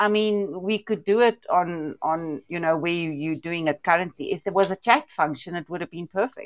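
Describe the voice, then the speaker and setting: A woman with a normal speaking voice, fairly low in pitch with ordinary pitch variation, at a moderate pace with hardly any pauses, in a dry, close sound with no echo. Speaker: livestream participant. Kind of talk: casual chat. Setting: online call.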